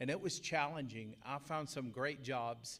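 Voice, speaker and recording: Here a man speaks at a moderate pace. His pitch is medium. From East Texas. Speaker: business owner, formerly incarcerated speaker. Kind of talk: testimony speech at employer event.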